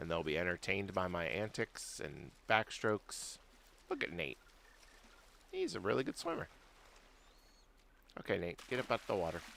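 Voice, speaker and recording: Speaking with a very deep, low pitch and vocal fry, a man uses lively intonation and a bright, sharp tone, with long, frequent pauses. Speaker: gaming streamer and consumer-agency union worker. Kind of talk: live game stream commentary. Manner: soft-spoken, calm.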